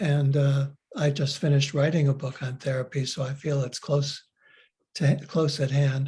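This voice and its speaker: A man with a fairly high pitch and a dark, mellow tone speaks at a moderate pace, somewhat breathy, against a quiet background. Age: 80s+. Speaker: author and psychotherapist. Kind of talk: lecture. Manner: halting, frequent fillers.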